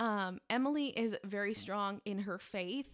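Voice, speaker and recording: With ordinary pitch variation, a woman talks at a medium pitch. The background is silent, and the recording is very clean. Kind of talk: solo monologue, casual vlog. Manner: loud.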